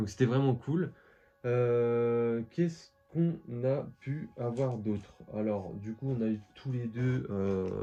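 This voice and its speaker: A man at a medium pitch and a very slow pace, with ordinary pitch variation and music in the background. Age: 20s. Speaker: collectibles youtuber. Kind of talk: casual vlog. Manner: hesitant, many fillers.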